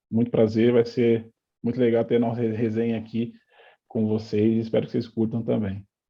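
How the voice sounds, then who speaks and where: This man speaks at a moderate pace and a medium pitch. His intonation is monotone and flat. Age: 30s. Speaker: football coach and former player. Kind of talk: interview.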